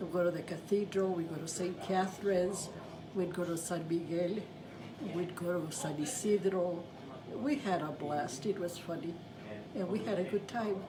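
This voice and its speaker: A woman with a fairly low voice and ordinary pitch variation speaks at a moderate pace, with audible room echo and noticeable background noise. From New Mexico, Santa Fe. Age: 80s+. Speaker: grandmother sharing family memories. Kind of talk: family interview, reminiscing. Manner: halting.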